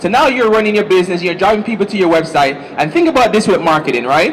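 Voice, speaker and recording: Over noticeable background noise, a man talks with lively intonation. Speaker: marketing seminar speaker. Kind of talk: seminar presentation. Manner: fast.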